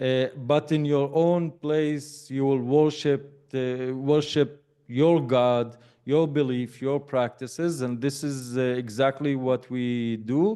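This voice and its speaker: A man with an Arabic accent speaks at a very slow pace, his medium-pitched voice carrying fairly even intonation. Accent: Arabic-accented English, mistaken for British. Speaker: educator and lecturer. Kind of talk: interview conversation. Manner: hesitant, many fillers.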